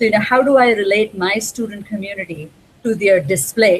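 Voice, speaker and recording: A woman's somewhat breathy voice at medium pitch. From India. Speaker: library cataloger. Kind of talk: interview. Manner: hesitant, many fillers.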